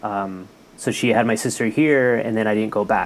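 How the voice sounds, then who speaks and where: Fairly even intonation in a Spanish accent at a moderate pace. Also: man. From California, Mexican family from Jalisco. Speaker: health worker. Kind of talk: casual chat.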